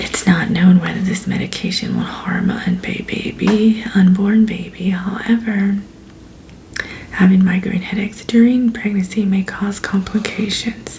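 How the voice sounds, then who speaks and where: A soft-spoken woman's calm, medium-pitched voice, monotone and flat, at a fairly slow pace, with noticeable background noise. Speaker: ASMR creator, pharmacist roleplay. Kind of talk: ASMR roleplay briefing. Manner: soft-spoken, calm.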